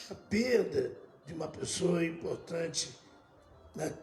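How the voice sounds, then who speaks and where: A man talks at a very slow pace. Noticeable background noise and audible room echo fill the recording. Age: 70s. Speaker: bishop. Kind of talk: sermon.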